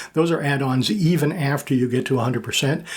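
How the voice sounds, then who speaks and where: Fairly quick and fairly high in pitch, a man talks over noticeable background noise. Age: 60s. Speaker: military veteran and YouTuber. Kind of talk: personal vlog monologue. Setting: home studio. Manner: casual with frequent fillers.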